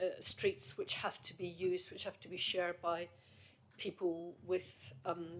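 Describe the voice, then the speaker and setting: A woman with a slight Scottish accent speaks at a fairly slow pace in a fairly low voice, her intonation fairly even but her loudness swinging widely. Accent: faint Scottish tone. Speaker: committee chair. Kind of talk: committee meeting discussion.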